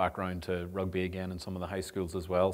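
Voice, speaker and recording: In a Northern Irish accent, a man speaks with a very deep, low pitch. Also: very clean recording, silent background. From Northern Ireland. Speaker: sport development officer and rugby coach. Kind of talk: public talk. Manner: hesitant with many fillers.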